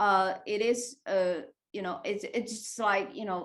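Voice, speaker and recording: At a fairly slow pace, a woman speaks with a non-native accent. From Asia. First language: not English. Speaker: tech startup founder. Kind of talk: panel discussion. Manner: halting, many fillers.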